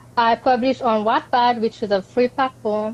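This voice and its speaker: Speaking at a moderate pace, a woman uses a high pitch and fairly even intonation. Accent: Mauritian. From Mauritius. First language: Mauritian Creole. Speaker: author. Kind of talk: interview. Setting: live video stream.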